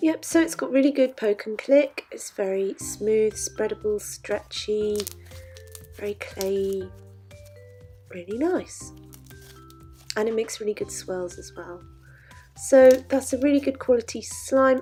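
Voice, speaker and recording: Background music plays throughout. A woman talks at a fairly unhurried pace. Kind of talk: casual product review to camera.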